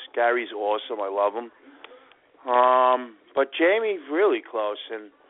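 A man speaks in an unremarkable speaking voice at medium pitch. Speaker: former reality show contestant. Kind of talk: casual chat. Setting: phone call.

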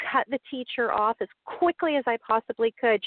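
A woman with an American accent and an unremarkable speaking voice, fairly high in pitch, with fairly even intonation. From US East Coast. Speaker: young adult novelist. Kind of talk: interview.

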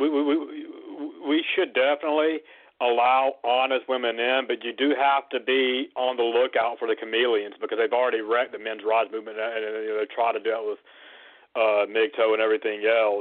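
A normal speaking voice moves at a fairly quick pace. The intonation stays fairly even. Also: man, medium pitch for a man. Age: 30s. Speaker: caller. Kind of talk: casual chat.

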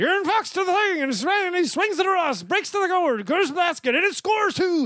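A put-on character voice at an extremely high pitch moves at a fairly quick pace over light background noise. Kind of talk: radio broadcast. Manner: play-by-play calling.

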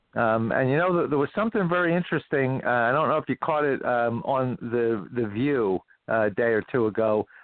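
The speaker has an ordinary speaking voice with lively intonation and very even loudness. Talking at a fairly quick pace, they leave hardly any pauses. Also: man, medium pitch for a man. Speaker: economist and finance professor. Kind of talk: political talk radio discussion. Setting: phone call.

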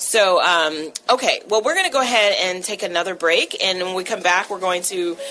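A woman of medium pitch, with ordinary pitch variation, talks at a moderate speed while noticeable noise fills the background. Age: 40s. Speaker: radio talk show host. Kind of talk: radio talk show.

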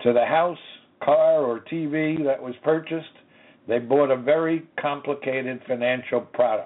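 Here a man has a plain, everyday voice. He speaks fairly slowly at a fairly high pitch, with ordinary pitch variation. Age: 60s. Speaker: lawyer and radio host. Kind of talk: lecture. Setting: radio studio.

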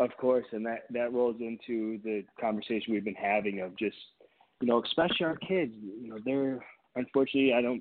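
With an American accent, a man talks at a fairly quick pace and medium pitch in a normal speaking voice, with ordinary pitch variation. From Michigan, near Detroit. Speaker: optometrist. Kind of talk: radio interview.

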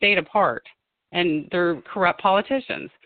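A woman with an American accent speaks at a moderate pace with lively intonation, music playing in the background. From Ohio (Springfield). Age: 50s. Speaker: gubernatorial candidate. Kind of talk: phone interview. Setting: phone call. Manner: animated.

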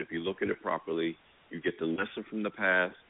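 A man is speaking at a fairly quick pace. His intonation stays fairly even. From New Jersey, Jersey Shore (Long Branch). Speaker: media executive. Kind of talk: interview.

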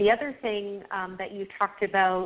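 A woman speaks in a Canadian accent at a medium pitch. Her pace is fairly slow. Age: 50s. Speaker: radio host. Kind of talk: interview.

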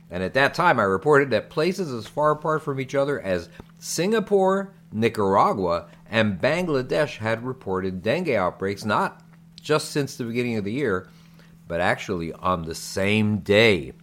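With music in the background, a man of medium pitch speaks at a moderate pace, making very wide pitch swings. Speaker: physician and podcast co-host. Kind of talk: casual chat and medical explainer. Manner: talkative.

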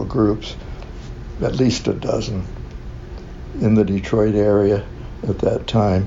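Speaking in an American accent at a fairly slow pace, a man with a fairly low pitch is heard with audible room echo and noticeable background noise. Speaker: LGBTQ activist. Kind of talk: interview. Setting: community center. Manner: halting.

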